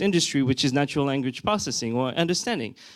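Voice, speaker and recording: A man with a French accent and lively intonation, on a very clean recording with a silent background. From France. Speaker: conference speaker, tech product executive. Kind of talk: conference talk. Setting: stage with audience. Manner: frequent fillers and hesitations.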